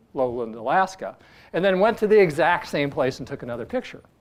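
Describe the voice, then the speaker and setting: Speaking at a fairly quick pace with lively intonation, a man has an unremarkable speaking voice against a quiet background. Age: 60s. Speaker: astronomy professor. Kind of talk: lecture. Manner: casual, with filler words.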